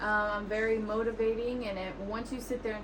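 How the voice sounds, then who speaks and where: Speaking at a medium pitch, a woman is heard with audible room echo and noticeable background noise. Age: 20s. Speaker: podcast guest sharing mental health story. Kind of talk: personal testimony interview.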